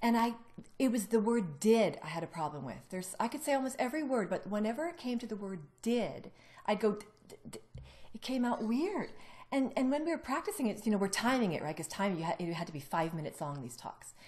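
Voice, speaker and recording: A somewhat breathy woman speaks very fast at a fairly high pitch, her loudness swinging widely and her pitch rising and falling dramatically. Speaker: ex-Jehovah's Witness telling own story. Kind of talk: personal testimony in casual conversation. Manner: fast, talkative.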